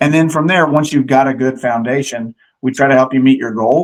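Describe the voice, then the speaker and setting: A man's unremarkable speaking voice at medium pitch, with ordinary pitch variation and a moderate pace. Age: 40s. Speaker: fitness gym owner and trainer. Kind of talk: interview.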